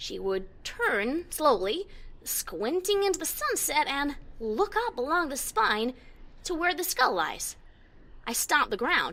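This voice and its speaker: A woman puts on a high-pitched character voice with very wide pitch swings. She speaks at a fairly slow pace over light background noise. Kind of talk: first-person story reading. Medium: read story.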